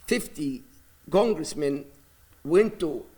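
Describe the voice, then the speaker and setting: Here a man speaks with an Arabic accent and a high pitch. His intonation is lively. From Palestine (Gaza City). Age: 60s. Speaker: imam. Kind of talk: news interview. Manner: halting.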